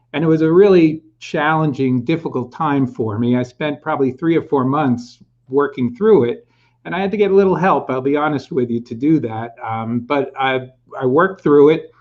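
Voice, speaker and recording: A man with a fairly high pitch has a normal speaking voice. He talks at a moderate pace with ordinary pitch variation. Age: 60s. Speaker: career and executive coach. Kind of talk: interview.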